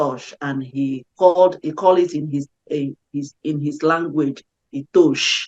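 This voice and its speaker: A woman with an African accent and a very deep, low voice speaks at a fairly slow pace with fairly even intonation, the sound dry and close with no echo. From Nigeria. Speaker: peace activist and singer. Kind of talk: interview. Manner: halting with self-corrections.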